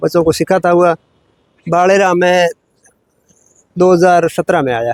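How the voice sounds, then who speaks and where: The sound is dry and close, with no echo. A man speaks at a high pitch. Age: 60s. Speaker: yoga teacher. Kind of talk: interview.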